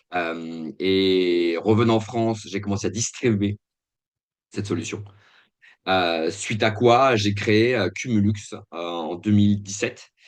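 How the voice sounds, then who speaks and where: A man at a fairly low pitch and a very slow pace, with fairly even intonation and long, frequent pauses, in a very clean recording with a silent background. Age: 40s. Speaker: company founder. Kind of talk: interview. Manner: halting, many hesitations.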